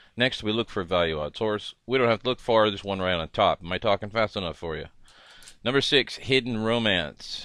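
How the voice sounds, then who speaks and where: A man's fairly low voice, a normal speaking voice, with a fairly quick pace and ordinary pitch variation. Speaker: horse racing handicapping tutor. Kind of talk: tutorial.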